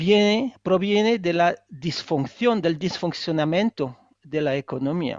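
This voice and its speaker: This man has a non-native accent and a high-pitched voice. He talks very slowly with lively intonation. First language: not Spanish (speaking Spanish). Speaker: economist and author. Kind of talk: book presentation interview. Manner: halting, many hesitations.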